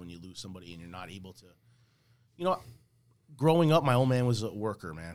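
A man talks at a very fast pace with a New Jersey accent. His pitch swings very widely. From New Jersey, Woodbridge area. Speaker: musician. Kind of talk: casual chat. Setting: studio.

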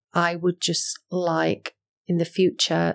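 In a Yorkshire accent, a woman speaks at a fairly slow pace on a very clean recording with a silent background and a dry, close sound with no echo. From West Yorkshire, Halifax. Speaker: rail industry manager. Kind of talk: interview. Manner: hesitant, many fillers.

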